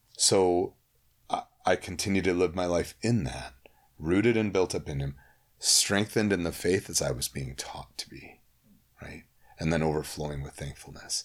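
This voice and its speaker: A man with a very deep, low pitch speaks at a moderate pace, showing vocal fry and ordinary pitch variation. His loudness swings widely, and he takes long, frequent pauses. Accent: American. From US Midwest, Holland, Michigan (Cuban family). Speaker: youth minister. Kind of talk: casual chat.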